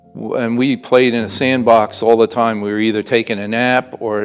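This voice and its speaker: Music plays in the background as a man speaks. His pitch is medium and his intonation fairly even. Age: 70s. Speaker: war veteran; college instructional support technician. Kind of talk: oral history interview answer.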